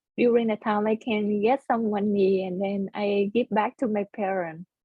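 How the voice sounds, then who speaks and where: Speaking with a Vietnamese accent, the voice moves at a fairly slow pace with fairly even intonation. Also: woman. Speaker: computer science student. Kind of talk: oral history interview. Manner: halting.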